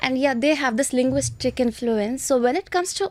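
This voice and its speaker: A woman with an Indian accent speaks at a high pitch and a moderate pace, with lively intonation. The audio is dry and close, with no echo. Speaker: IELTS trainer. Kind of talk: interview.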